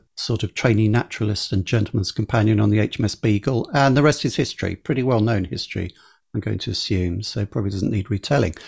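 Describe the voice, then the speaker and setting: In a very clean recording with a silent background and a dry, close sound with no echo, a somewhat breathy man with an English accent speaks at a medium pitch, fairly quickly, with ordinary pitch variation. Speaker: podcast host. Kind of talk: conversational interview.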